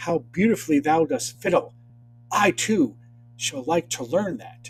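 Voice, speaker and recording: A man performs a put-on character voice, pitched high. He delivers it at a moderate pace. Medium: read story.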